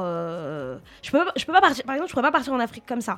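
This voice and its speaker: Very fast speech from a woman with a fairly high pitch, in a very clean recording with a silent background. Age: 30s. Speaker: radio co-host. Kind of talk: casual chat.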